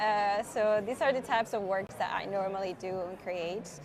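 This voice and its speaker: Over noticeable background noise, a woman with a Spanish accent talks at a fairly quick pace. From Spain. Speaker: illustrator. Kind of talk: live-stream tutorial. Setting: conference live stream.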